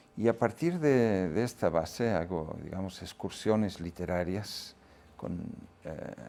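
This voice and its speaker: With a Catalan accent, a man speaks very slowly in a dark, mellow tone at a fairly low pitch, with ordinary pitch variation and long, frequent pauses. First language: Catalan (speaking Spanish). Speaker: reader, literary guest. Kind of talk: interview. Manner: hesitant, many fillers.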